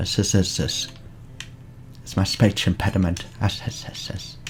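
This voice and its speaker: A man speaks at a very slow pace in a fairly low pitch. Noticeable background noise is present. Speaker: Minecraft YouTuber. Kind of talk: tutorial. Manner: animated.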